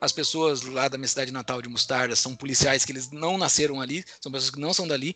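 Noticeable background noise sits under a man's fairly high-pitched voice. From southern Brazil, Rio Grande do Sul. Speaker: finance executive and podcaster. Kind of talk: casual interview chat. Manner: hesitant with frequent fillers.

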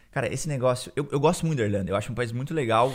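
A man talks with ordinary pitch variation, the recording very clean and the background silent. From Brazil, Curitiba. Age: 20s. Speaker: Brazilian immigrant. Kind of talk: casual chat.

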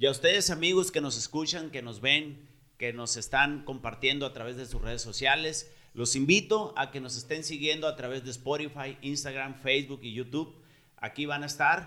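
Here is a man with a bright, sharp tone and a fairly high pitch. His loudness swings widely. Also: ordinary pitch variation, moderate pace. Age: 30s. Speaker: podcast host. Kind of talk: casual chat.

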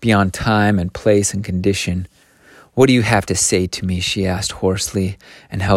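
Intonation holds fairly even. A natural voice reads the passage aloud.

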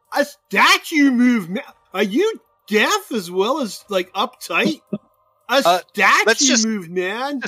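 A put-on character voice drawls at a very slow pace with a fairly high pitch. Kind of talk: comic overacting. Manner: drawling, lazy, stoned.

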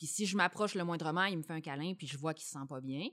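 On a very clean recording with a silent background, a woman with a Quebec accent speaks at a fairly low pitch with ordinary pitch variation. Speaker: mother, employee of small content company. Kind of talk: casual chat.

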